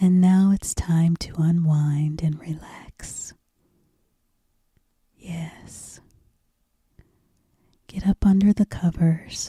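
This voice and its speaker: Whispering and soft-spoken, the voice is somewhat breathy and soothing, moving at a very slow pace with long, frequent pauses in a dry, close sound with no echo. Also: woman. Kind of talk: whispered ASMR bedtime story reading. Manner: whispered, soft, slow, soothing.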